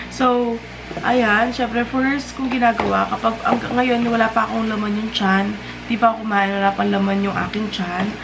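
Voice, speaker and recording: Noticeable background noise and audible room echo fill this recording of a woman. She talks at a fairly quick pace with fairly even intonation. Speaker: lifestyle vlogger. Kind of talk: casual vlog talk to camera.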